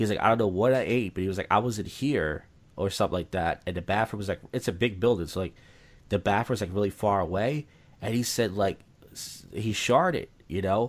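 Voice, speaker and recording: A fairly quick pace, an American accent, a normal speaking voice, and ordinary pitch variation come through on a very clean recording with a silent background. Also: man, fairly low pitch for a man. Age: 30s. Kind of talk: casual chat.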